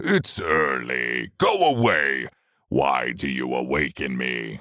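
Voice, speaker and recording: A man's put-on, growling character voice, very deep and low in pitch, at a fairly slow pace. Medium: read story. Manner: gloating, sneering.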